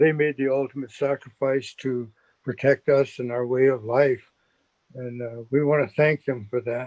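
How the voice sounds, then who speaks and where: In a dry, close sound with no echo, a man of medium pitch talks at a moderate pace with monotone, flat intonation. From South Dakota, Standing Rock. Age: 80s+. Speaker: veteran speaker. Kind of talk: testimony. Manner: halting.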